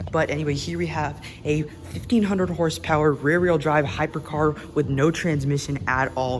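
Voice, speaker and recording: A man's fairly high voice at a fairly quick pace, ordinary pitch variation, and noticeable background noise. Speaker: car vlogger. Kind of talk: walkaround vlog. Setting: car dealership showroom. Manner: fast.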